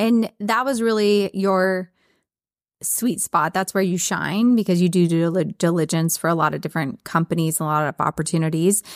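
On a very clean recording with a silent background and a dry, close sound with no echo, a woman with a plain, everyday voice speaks at a medium pitch and a moderate pace with ordinary pitch variation. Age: 40s. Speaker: veterinarian and podcast host. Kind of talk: casual chat.

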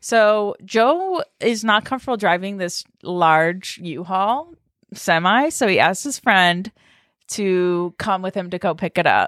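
A woman talks in a plain, everyday voice at medium pitch with lively intonation, captured with a dry, close sound and no echo. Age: 30s. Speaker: podcast co-host. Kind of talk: casual chat. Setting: recording at a co-host's new house.

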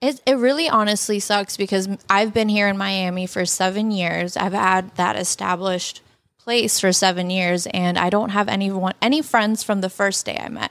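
Speaking in a normal speaking voice, a woman keeps to a medium pitch. Her pace is moderate and her pitch variation ordinary. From Canada, Toronto. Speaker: social media model and former college golfer. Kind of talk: casual chat.

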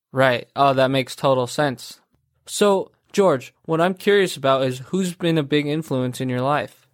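A man talks at a moderate pace with ordinary pitch variation and a fairly high pitch. His is an unremarkable speaking voice. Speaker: podcast host. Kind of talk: interview conversation.

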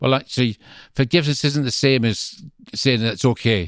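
With a dry, close sound and no echo, a man talks at a very fast pace. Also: very clean recording, silent background. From Scotland, Greenock near Glasgow. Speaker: visiting minister. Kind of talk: interview conversation.

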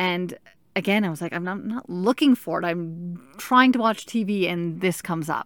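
A woman with a plain, everyday voice speaks at a moderate pace in a medium pitch with ordinary pitch variation, on a very clean recording with a silent background. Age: 30s. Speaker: teacher with colon cancer. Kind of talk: personal monologue.

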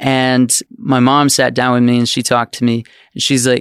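A man talks at a moderate pace in a normal speaking voice. The sound is dry and close, with no echo. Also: very clean recording, silent background. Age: 20s. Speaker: children's book author and puppeteer. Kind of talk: casual interview chat.

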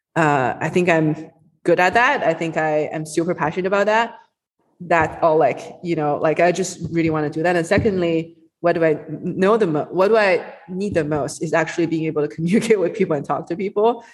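Speaking with a Chinese accent, a woman goes at a fairly quick pace in a fairly low pitch with ordinary pitch variation. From China. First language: Mandarin Chinese. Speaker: venture capitalist. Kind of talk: casual interview.

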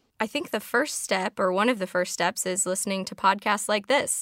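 The tone of this woman's voice is bright and sharp, with medium pitch. She speaks with an American accent. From Chicago. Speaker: technology consultant. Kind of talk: casual interview chat.

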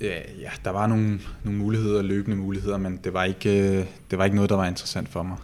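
Talking very fast in a monotone, flat intonation, a man with a fairly low pitch is heard with audible room echo. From Copenhagen, Denmark. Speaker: professional footballer. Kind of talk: interview. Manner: halting, with repetitions.

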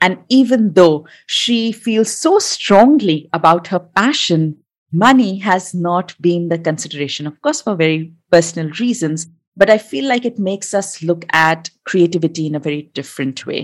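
A woman's normal speaking voice at a moderate pace, with hardly any pauses. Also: fairly low pitch for a woman, lively intonation. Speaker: podcast host, food stylist and photographer. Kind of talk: casual interview conversation.

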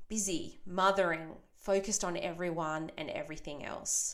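A woman speaks at a fairly slow pace and medium pitch with fairly even intonation, a plain, everyday voice. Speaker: podcast host and mothers' coach. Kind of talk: guided meditation, imagining a campfire; solo podcast monologue. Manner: slow, calm, soothing; soft-spoken, gentle.

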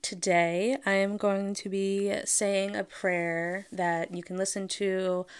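The recording is very clean, with a silent background. A woman speaks with fairly even intonation. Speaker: podcast host and doula. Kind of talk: fervent spoken prayer, read aloud, pregnancy devotional. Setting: solo podcast recording. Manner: earnest, solemn, reverent; slow, heartfelt, gently pleading.

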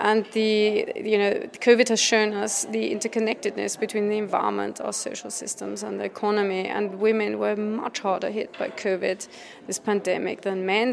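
A woman speaks at a medium pitch with monotone, flat intonation over noticeable background noise. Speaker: campaign co-founder. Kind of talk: interview. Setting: busy event venue. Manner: assertive, rhetorical.

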